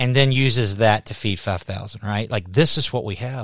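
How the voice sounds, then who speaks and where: The recording is very clean, with a silent background. A male speaker varies his pitch in an ordinary way. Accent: Southern US. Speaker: pastor and podcast host. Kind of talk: casual interview conversation. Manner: animated.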